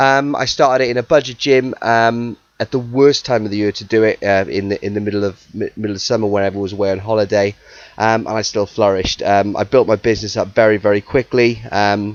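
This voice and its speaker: Delivered at a very fast pace, the speech keeps a fairly even intonation. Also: man, fairly low pitch for a man. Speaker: podcast host and personal trainer. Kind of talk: casual solo podcast. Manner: passionate.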